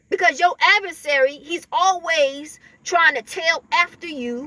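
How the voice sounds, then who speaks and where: In a raised, projected voice, a woman speaks at an extremely high pitch with lively intonation. The sound is dry and close, with no echo. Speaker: spiritual video creator. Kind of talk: spiritual talk to camera. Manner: halting, with many repetitions.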